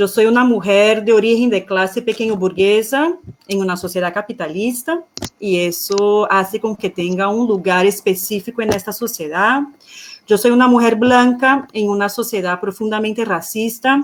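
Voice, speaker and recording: Speaking at a moderate pace, a woman with a Portuguese accent uses a fairly high pitch and ordinary pitch variation. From Brazil. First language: Portuguese (speaking Spanish). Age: 30s. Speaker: economist and feminist activist. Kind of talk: panel talk.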